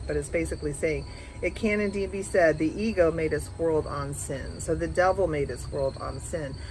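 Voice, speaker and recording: A woman talks at a moderate pace while noticeable background noise is present. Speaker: spiritual teacher. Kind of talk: reading aloud with commentary. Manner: gentle.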